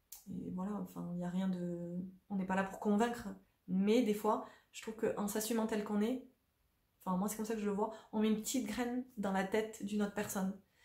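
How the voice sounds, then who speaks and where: A woman speaks at a medium pitch in a dark, mellow tone. Her intonation is flat and monotone, and her voice is somewhat breathy. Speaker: spiritual coach and vlogger. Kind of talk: casual monologue to camera. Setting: at home on a sofa. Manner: fast; spontaneous, hesitant.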